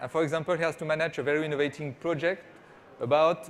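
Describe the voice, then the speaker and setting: This man speaks with a French accent. His pitch is fairly high. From France. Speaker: startup CEO. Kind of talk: conference presentation. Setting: stage with small audience. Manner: hesitant, many fillers.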